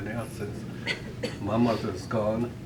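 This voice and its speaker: A man speaks at a medium pitch, and the room echo is audible. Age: 70s. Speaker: birthday celebrant. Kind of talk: speech at a family party. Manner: halting.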